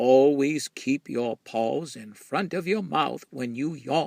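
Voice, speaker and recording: At a fairly slow pace, a man uses a put-on character voice at a medium pitch. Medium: read story.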